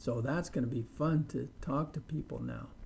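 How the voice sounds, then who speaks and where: An American accent, a somewhat breathy delivery, ordinary pitch variation and a dark, mellow tone. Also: man. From US, Idaho. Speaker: English teacher. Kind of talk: tutorial.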